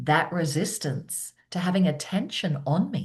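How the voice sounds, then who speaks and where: A woman speaks at a fairly slow pace with an Australian accent, her voice somewhat breathy. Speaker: keynote speaker and presence coach. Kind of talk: interview conversation.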